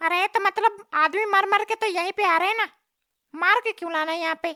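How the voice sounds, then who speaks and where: A cartoonish character voice at an extremely high pitch and a very fast pace. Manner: questioning, puzzled.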